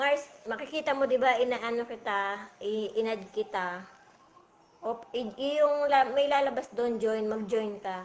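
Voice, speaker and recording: Very slow delivery from a woman, fairly high in pitch, with ordinary pitch variation. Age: 40s. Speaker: vlogger. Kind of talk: casual livestream chat. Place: home room. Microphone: phone near.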